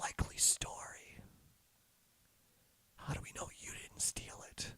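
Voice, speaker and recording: A man whispers in a put-on character voice that is raspy. He goes at a fairly slow pace. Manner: suspicious, accusing.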